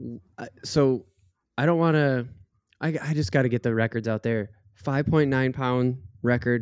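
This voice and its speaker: A man with an American accent and an ordinary speaking voice talks at a fairly slow pace, with medium pitch and ordinary pitch variation. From Minnesota. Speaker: podcast co-host. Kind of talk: casual chat.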